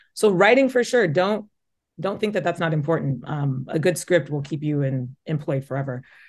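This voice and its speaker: Against a quiet background, a woman with a Midwestern US accent speaks at a very deep, low pitch with lively intonation. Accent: US Midwest. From Omaha, Nebraska. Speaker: journalist and host. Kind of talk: interview. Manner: fast talker; occasional stutter.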